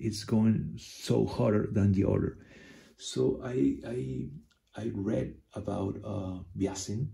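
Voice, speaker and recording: The voice has vocal fry and moves at a very slow pace. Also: man. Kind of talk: tutorial. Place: home room. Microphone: phone near.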